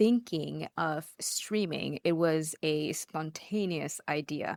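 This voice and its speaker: A woman talks at a very slow pace in a fairly low pitch, with ordinary pitch variation. The sound is dry and close, with no echo. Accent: non-native. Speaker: streamer. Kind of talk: interview. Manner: casual, with fillers.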